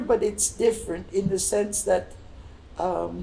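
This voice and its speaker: Background noise is noticeable here. Through it, a woman talks fairly slowly. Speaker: Blackfoot cultural interpreter. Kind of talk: conversational interview, storytelling. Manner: halting, many repetitions.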